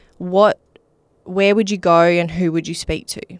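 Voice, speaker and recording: A fairly low-pitched woman with an Australian accent. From Western Australia, Wheatbelt. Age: 30s. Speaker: mental health charity founder. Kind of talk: interview.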